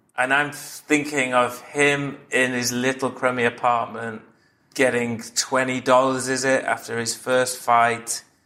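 A man's bright, sharp voice at a medium pitch, very slow and monotone, with flat intonation. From Manchester, northern England. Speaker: comedy writer. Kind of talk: casual chat.

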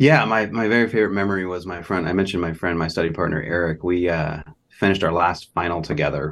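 Over a quiet background, a man with a Californian accent talks at a very fast pace, his pitch very deep and low, with ordinary pitch variation. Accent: General American (Californian). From Southern California, Los Angeles. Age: 40s. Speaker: law professor. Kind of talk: casual interview.

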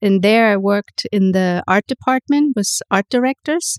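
A woman with a German accent talks at medium pitch. Her sound is dry and close, with no echo. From Germany, itinerant childhood in theater towns. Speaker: photographer. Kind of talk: interview conversation.

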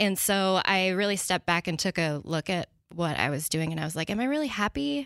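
An unremarkable speaking voice, this woman talks fairly quickly with an American accent, fairly low pitch and ordinary pitch variation, recorded dry and close with no echo. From US Pacific Northwest, small town in Washington. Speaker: business owner, vintage clothing seller. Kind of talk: casual interview.

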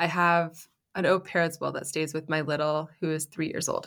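A woman with a normal speaking voice, fairly even in intonation and fairly slow. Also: very clean recording, silent background. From Canada. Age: 30s. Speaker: entrepreneur, founder of a styling business. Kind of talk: interview conversation.

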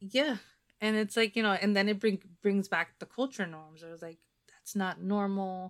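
Moving at a moderate pace, a woman at medium pitch uses ordinary pitch variation, with big swings in loudness. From New Jersey. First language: Spanish. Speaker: podcast host. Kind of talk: casual chat.

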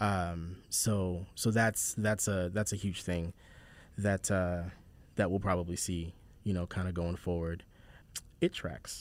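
With an American accent, a man with a very deep, low pitch speaks in a monotone, flat intonation, leaving long, frequent pauses in a very clean recording with a silent background. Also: fairly slow pace. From South Carolina, Charleston. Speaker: podcast host, writer and voice actor. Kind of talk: casual chat.

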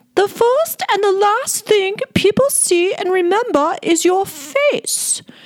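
A woman performs a put-on character voice at an extremely high pitch, with very wide pitch swings. She goes at a fairly slow pace, her loudness very even.

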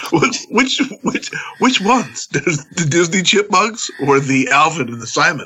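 Over noticeable background noise, a man with a high pitch speaks at a fairly slow pace with very wide pitch swings. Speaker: pro wrestler. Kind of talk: casual chat.

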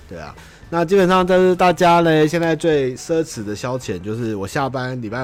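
Over noticeable background noise, a man speaks at a fairly quick pace with very wide pitch swings. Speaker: livestream podcast host. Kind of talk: casual livestream chat. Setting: home livestream.

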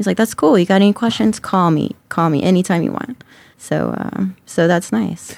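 A woman speaks with a fairly low pitch at a moderate pace. She has an American accent. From US South, Georgia. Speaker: cannabis grower. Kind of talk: casual chat. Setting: studio.

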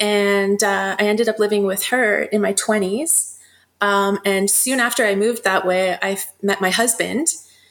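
A woman speaks at a fairly slow pace. Her tone is fairly bright and her intonation fairly even. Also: medium pitch for a woman.

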